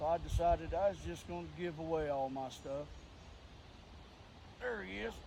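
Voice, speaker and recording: Over noticeable background noise and audible room echo, a man with an Appalachian accent speaks in a relaxed tone at a fairly high pitch and a moderate pace. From West Virginia, Clarksburg. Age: 50s. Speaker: vlogger. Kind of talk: casual vlog talk. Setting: outdoors.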